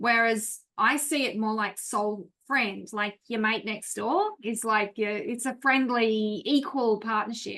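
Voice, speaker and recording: Speaking at a very slow pace with hardly any pauses, a woman with an Australian accent has a bright, sharp tone and ordinary pitch variation. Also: fairly high pitch for a woman. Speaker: class participant. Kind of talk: class discussion.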